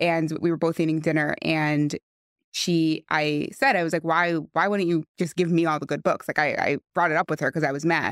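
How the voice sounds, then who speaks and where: A woman with a New York accent speaks at a moderate pace and a fairly low pitch, keeping her intonation fairly even and her loudness very even. The sound is dry and close with no echo, on a very clean recording with a silent background. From West Hempstead, New York. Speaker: friend of the deceased. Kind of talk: podcast interview.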